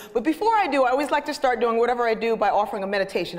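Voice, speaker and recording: Animated speech from a woman, with background noise clearly noticeable. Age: 50s. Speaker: sociologist and motivational speaker. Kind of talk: humorous inspirational talk. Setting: stage with audience.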